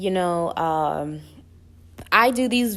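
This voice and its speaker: At a very slow pace, a woman speaks at medium pitch in a very clean recording with a silent background. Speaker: vlogger. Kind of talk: casual Q&A vlog. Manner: informal, many fillers.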